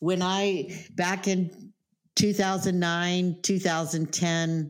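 Very slow speech from a woman, fairly low in pitch, with ordinary pitch variation. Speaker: podcast host and real estate professional. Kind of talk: interview, casual chat.

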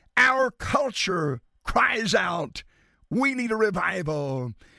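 On a very clean recording with a silent background, a man with an American accent uses a raised, projected voice, high in pitch with a bright, sharp tone and very wide pitch swings. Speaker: radio preacher. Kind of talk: radio sermon, preacher in full flow, impassioned. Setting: radio broadcast. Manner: animated; emphatic, rhythmic, pounding alliterative lists.

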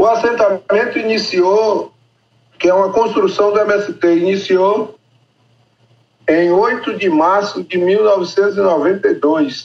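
Pitched high, a man speaks at a very slow pace with long, frequent pauses. His pitch varies in an ordinary way, and his loudness stays very even. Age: 60s. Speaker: farmer in land reform settlement. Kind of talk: interview.

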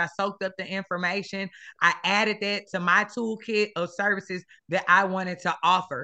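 At a fairly quick pace, a woman with an American accent speaks at medium pitch in a bright, sharp tone against a quiet background. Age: 30s. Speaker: education consultant and business founder. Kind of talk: interview.

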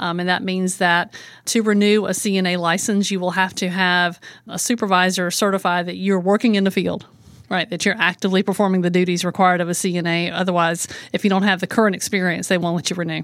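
A woman's medium-pitched voice, flat and monotone, at a very fast pace, on a very clean recording with a silent background. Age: 50s. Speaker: home care agency owner and author. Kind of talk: interview.

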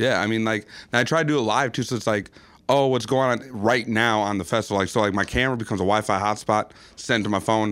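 In a very clean recording with a silent background, a man talks at a very fast pace with fairly even intonation. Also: medium pitch for a man. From Minnesota, Burnsville. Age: 30s. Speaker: photographer. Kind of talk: casual chat. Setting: studio.

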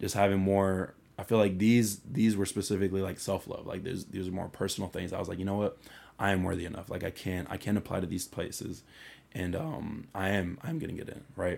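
Talking at a very fast pace, a man uses a fairly low pitch with ordinary pitch variation. The recording is very clean and the background silent. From Atlanta, Georgia and Venezuela. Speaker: engineering student. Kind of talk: casual interview.

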